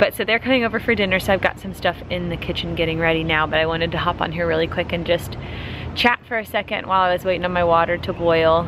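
Very fast speech with fairly even intonation, a dry sound with no echo and noticeable background noise. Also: woman, fairly low pitch for a woman. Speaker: vlogger. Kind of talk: casual vlog chat. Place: garden. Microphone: phone near.

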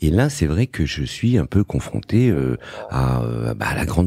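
A man's very deep, low voice with a dark, mellow tone, vocal fry and very wide pitch swings. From Morocco, raised in Paris suburbs. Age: 50s. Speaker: entrepreneur and investor. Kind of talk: interview. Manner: hesitant, many fillers.

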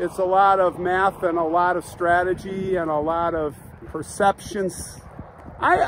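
A man speaks at a high pitch in a dry recording with no echo and light background noise. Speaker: vlogger. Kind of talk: casual vlog chat.

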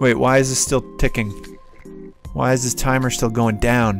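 Over clear background music, a man talks at a moderate pace with fairly even intonation, the sound dry and free of echo. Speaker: beginner voice actor. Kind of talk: casual talk to camera. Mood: playful, puzzled. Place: home room. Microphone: studio mic.

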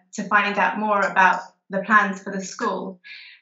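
Over a quiet background with audible room echo, a woman talks at a moderate pace in a fairly high pitch. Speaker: teacher. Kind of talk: webinar Q&A answers. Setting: video call. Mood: warm, smiling, enthusiastic. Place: home room. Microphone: video call.

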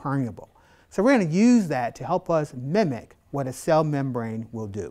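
Against a quiet background, a man with a dark, mellow tone speaks at a moderate pace, his pitch swinging very widely. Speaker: biology instructor. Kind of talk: tutorial. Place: classroom. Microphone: lapel.

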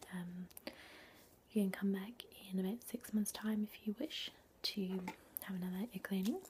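Soft-spoken and somewhat breathy, a woman talks in a calm tone at a moderate pace, leaving long, frequent pauses over light background noise. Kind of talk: soft-spoken role-play talk to the viewer. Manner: soft, calm ASMR voice. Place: home room. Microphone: webcam.

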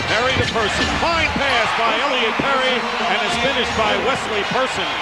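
A man speaks at a moderate pace. Loud background noise runs beneath him. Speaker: play-by-play announcer. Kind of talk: commentary. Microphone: headset.

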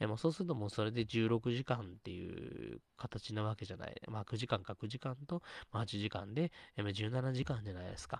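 The speaker has a plain, everyday voice, moving at a fairly quick pace with ordinary pitch variation. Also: man, medium pitch for a man. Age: 30s. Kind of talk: casual solo talk stream. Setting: live stream, solo. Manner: rambling, filler-heavy.

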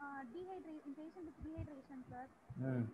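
Over noticeable background noise, a woman talks at a fairly quick pace in a high pitch. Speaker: anaesthesiology postgraduate student. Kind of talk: oral quiz answers. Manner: halting. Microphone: video call.

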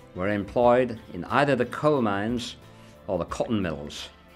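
The speaker goes at a fairly slow pace while music plays in the background. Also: man. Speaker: dialect speaker. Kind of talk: documentary narration.

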